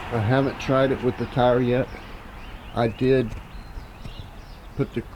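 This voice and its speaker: Noticeable background noise surrounds a man's voice. He speaks at a fairly slow pace with monotone, flat intonation. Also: medium pitch for a man. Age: 60s. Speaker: DIY video maker. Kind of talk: tutorial. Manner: halting.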